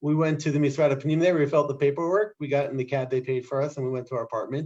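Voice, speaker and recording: A man with a New Jersey accent, fairly high-pitched, at a very fast pace with fairly even intonation. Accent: New Jersey American. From US Northeast, New Jersey. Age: 40s. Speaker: scribe and immigrant. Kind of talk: interview.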